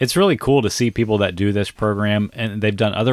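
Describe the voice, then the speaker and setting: A normal speaking voice from a man with an American accent, fairly low in pitch and fairly quick, fairly even in intonation, over a very clean recording with a silent background. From US South. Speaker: fitness coach and podcast host. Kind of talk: casual chat. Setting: camper.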